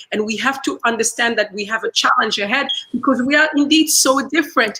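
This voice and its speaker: A woman speaks at a fairly quick pace in a raised, projected voice, her pitch high with ordinary variation. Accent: French. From Central Africa, former Belgian colony. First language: French. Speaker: speaker at online community event. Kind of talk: speech. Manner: repetitive, halting with fillers.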